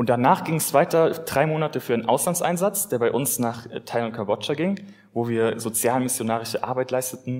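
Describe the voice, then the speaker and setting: This man has a plain, everyday voice at a medium pitch with ordinary pitch variation. He talks at a fairly quick pace. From Germany, Westerwald (Rhineland-Palatinate). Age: 20s. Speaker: lay preacher. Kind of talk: sermon.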